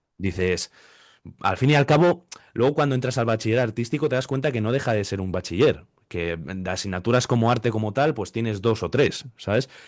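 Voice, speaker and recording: A man has a normal speaking voice at medium pitch with lively intonation. He moves at a fairly quick pace against a quiet background. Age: 20s. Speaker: interviewer and artist. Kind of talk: interview conversation. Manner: casual, with fillers.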